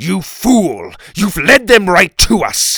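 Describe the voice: A man's put-on character voice, high-pitched with very wide pitch swings, slow, with vocal fry, a slightly husky edge and a bright, sharp tone.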